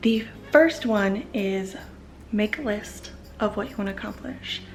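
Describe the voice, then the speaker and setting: A woman speaks at a moderate pace in a medium pitch. Music plays in the background, and the room echo is audible. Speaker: parenting vlogger. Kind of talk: casual vlog talk.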